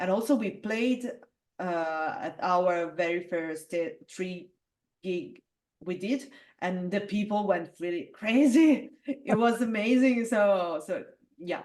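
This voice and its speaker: Speech in an Italian accent unfolds at a very slow pace with lively intonation. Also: woman, medium pitch for a woman. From Italy. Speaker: metal singer. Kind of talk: interview. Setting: video call. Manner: halting, many fillers.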